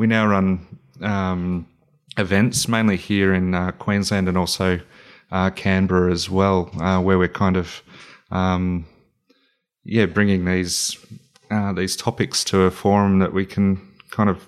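A man with an Australian accent talks fairly slowly in a very deep, low voice, with monotone, flat intonation and long, frequent pauses. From country New South Wales, Australia. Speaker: founder of a men's mental health organisation. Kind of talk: interview. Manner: halting, many fillers.

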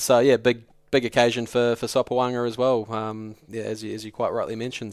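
A man talks at a fairly quick pace and medium pitch in a very clean recording with a silent background. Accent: New Zealand. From New Zealand. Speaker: rugby journalist and podcast host. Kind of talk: casual chat. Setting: studio.

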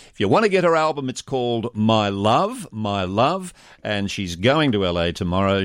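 A man in an Australian accent, on a very clean recording with a silent background. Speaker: radio host. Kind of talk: radio interview. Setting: studio.

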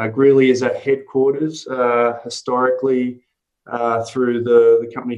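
With an Australian accent, this man is talking. The pitch of his voice sits in the middle range. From Sydney, Australia. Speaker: meat import executive. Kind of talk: interview.

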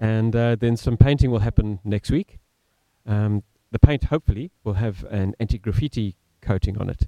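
A man with an Australian accent, fairly low pitch and a dark, mellow tone, at a moderate pace with ordinary pitch variation, in a dry, close sound with no echo. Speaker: community theatre director. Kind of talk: casual chat. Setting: studio. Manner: eloquent.

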